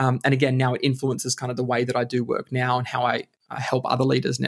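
The man has an Australian accent. He talks at a very fast pace. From Australia (Queensland, Alice Springs, country town). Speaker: leadership consultant. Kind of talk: interview. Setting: podcast recording.

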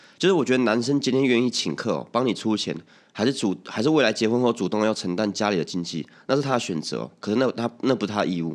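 Very fast speech from a man at medium pitch with vocal fry, over a quiet background. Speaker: podcast host. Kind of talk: casual chat. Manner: stammering at times.

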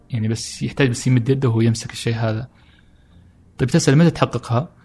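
Ordinary pitch variation is heard with music in the background. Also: man. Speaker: photographer and traveler. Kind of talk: casual interview chat.

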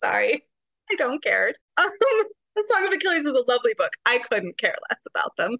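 A woman with an American accent projects a raised voice in a bright, sharp tone at an extremely high pitch, talking at a fairly quick pace with very wide pitch swings, very even loudness and long, frequent pauses, in a dry, close sound with no echo. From Arizona. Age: 40s. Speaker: romance novelist. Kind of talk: casual chat.

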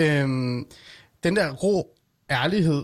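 The sound is dry and close with no echo, a very clean recording with a silent background, and the voice shows ordinary pitch variation. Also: man. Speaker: late-night radio host. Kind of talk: casual interview chat. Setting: studio.

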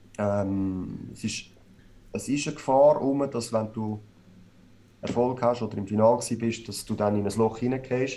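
A man with a Swiss accent, medium-pitched, at a moderate pace with fairly even intonation and long, frequent pauses. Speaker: ice hockey player. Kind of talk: podcast interview.

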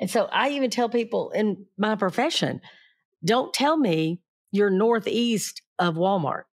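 A plain, everyday voice with lively intonation and very even loudness, in a very clean recording with a silent background. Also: woman, fairly high pitch for a woman, fairly slow pace. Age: 60s. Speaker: podcast host, crime reporter. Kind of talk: interview.

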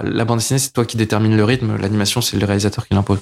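At a very fast pace, a man talks in a fairly low pitch with monotone, flat intonation. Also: dry, close sound with no echo. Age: 30s. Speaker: comic artist and filmmaker. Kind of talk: casual interview chat. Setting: his production company offices.

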